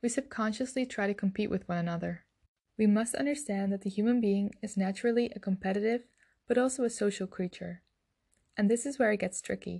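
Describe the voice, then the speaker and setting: With a Dutch accent, this voice has a dark, mellow tone, a somewhat breathy quality, ordinary pitch variation and a fairly quick pace over a quiet background. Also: woman, medium pitch for a woman. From Netherlands. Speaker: podcaster. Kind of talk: scripted monologue.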